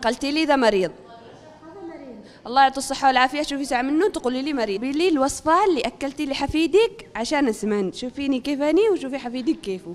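Fairly quick and high-pitched, a woman speaks with lively intonation. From Yemen. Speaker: TV news reporter. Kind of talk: humorous street interview questions. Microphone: handheld.

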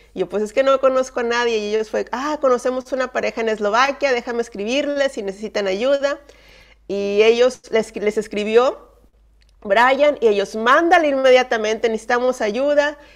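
A woman talks at a moderate pace in a high pitch with ordinary pitch variation. The background is quiet. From northern Mexico, Monterrey; northern Mexico. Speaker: missionary; guest. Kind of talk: testimony. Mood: warm, personal storytelling. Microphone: video call.

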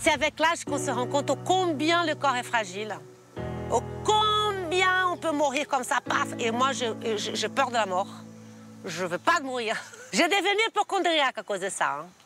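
A woman's raised, projected voice at a high pitch with very wide pitch swings and a fairly slow pace, dry with no echo, clear music in the background. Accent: Brazilian. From Brazil. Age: 50s. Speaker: TV fashion stylist, businesswoman. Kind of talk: casual interview answer. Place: garden. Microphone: lapel.

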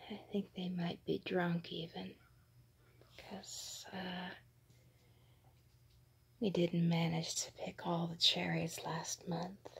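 Whispering at a very slow pace, the speaker leaves long, frequent pauses. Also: woman. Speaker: vlogger. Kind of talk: ASMR narration. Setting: outdoors. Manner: whispered. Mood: amused, playful. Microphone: phone near.

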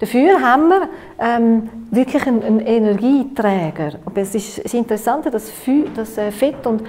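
In a Swiss accent, a woman speaks with fairly high pitch and lively intonation. Her pace is moderate. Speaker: nutritionist and workshop lecturer. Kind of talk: workshop lecture. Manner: hesitant, many filler sounds. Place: meeting room.

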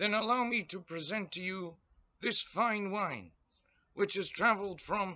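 A man talks at a fairly slow pace. His pitch is high, with ordinary variation. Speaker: comic performer playing a waiter. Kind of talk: comedic sketch in character. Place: garden. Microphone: webcam.

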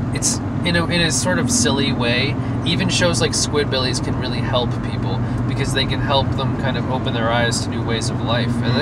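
A man is speaking with loud background noise. The sound is dry, with no echo. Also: fairly quick pace. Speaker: vlogger. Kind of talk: casual vlog chat. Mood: reflective, earnest. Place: car. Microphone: phone near.

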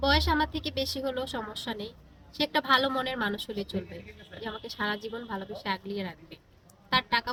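A normal speaking voice with ordinary pitch variation. The loudness swings widely. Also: woman. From Bangladesh, Chandpur (Kachua). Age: 20s. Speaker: marriage seeker. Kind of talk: on-camera interview.

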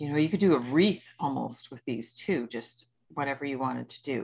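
The delivery moves at a moderate pace with lively intonation. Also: woman. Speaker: craft class host. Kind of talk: tutorial. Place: home room. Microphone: video call.

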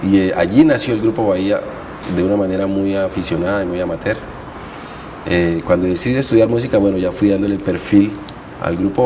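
Against light background noise, a man with a fairly low pitch talks at a fairly quick pace in an ordinary speaking voice. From Colombian Pacific coast (Guapi, Cauca); Colombia. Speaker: musician; guest. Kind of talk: interview. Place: studio. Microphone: lapel.

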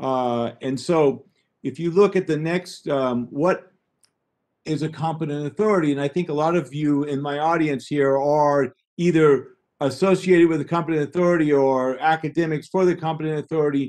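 In a normal speaking voice, a man talks at a moderate pace with fairly high pitch and fairly even intonation, the background quiet. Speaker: trade and export consultant; webinar presenter. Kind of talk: webinar presentation. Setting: video call. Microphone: webcam.

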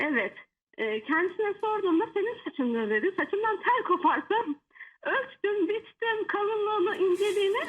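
Lively intonation from a woman with an extremely high voice, at a moderate pace. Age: 30s. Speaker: caller. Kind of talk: phone-in. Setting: phone call.

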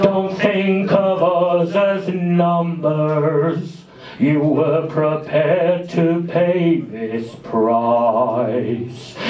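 Over light background noise and a slight echo, the speech moves at a very slow pace. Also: man, high pitch for a man, lively intonation. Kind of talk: spoken word poetry reading. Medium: read story. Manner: solemn, measured, mournful.

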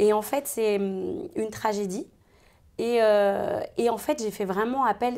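Her voice sits at a medium pitch, and the woman uses ordinary pitch variation. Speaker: voice actor (dubbing). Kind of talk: interview chat. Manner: hesitant, many fillers.

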